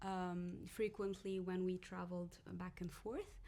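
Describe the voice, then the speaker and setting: A woman speaks at a moderate pace with an Arabic accent. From Morocco, Casablanca. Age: 30s. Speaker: podcast guest. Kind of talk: casual chat. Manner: halting.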